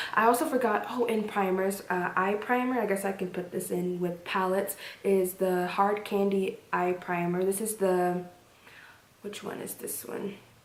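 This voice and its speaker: With audible room echo and noticeable background noise, a woman talks at a moderate pace in a medium pitch with fairly even intonation. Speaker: beauty vlogger. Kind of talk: casual product review to camera.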